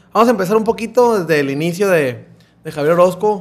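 Talking at a very fast pace, a man uses a high pitch. His pitch varies in an ordinary way. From Mexico. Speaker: podcast host. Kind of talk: casual interview. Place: studio. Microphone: studio mic.

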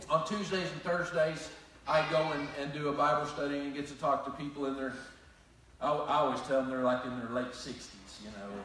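Delivered at a fairly quick pace with fairly even intonation, the fairly bright tone rings through strong room echo. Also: man, fairly high pitch for a man.

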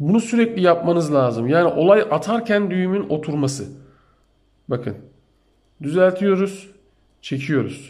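With lively intonation and a high pitch, a man talks at a fairly slow pace broken by long, frequent pauses. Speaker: amateur fishing youtuber. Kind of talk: tutorial. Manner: slow, step-by-step.

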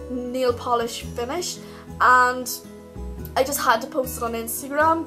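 A woman delivers her words at a very slow pace while music plays in the background. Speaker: beauty vlogger. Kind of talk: casual talk to camera.

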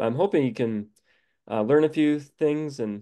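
A man speaks in a dark, mellow tone with ordinary pitch variation. His pace is fairly slow, and the background is quiet. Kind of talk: lecture. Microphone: video call.

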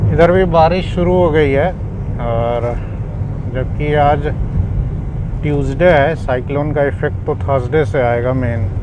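A man talks at a fairly slow pace with long, frequent pauses and lively intonation. The sound is dry with no echo, and there is noticeable background noise. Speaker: family travel vlogger. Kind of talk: casual travel commentary. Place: car. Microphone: lapel.

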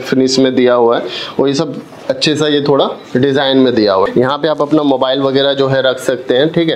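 There is light background noise behind a man speaking at a moderate pace. His intonation is fairly even. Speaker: product reviewer. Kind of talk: unboxing demo.

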